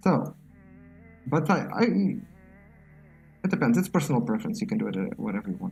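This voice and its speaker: A voice with a non-native accent over music in the background. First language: not English. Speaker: crypto trader, streamer. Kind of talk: live trading tutorial. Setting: live stream. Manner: halting, self-correcting.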